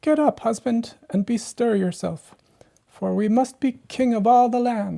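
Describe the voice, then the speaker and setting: Moderate pace in a put-on character voice pitched fairly high. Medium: read story. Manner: imperious, demanding.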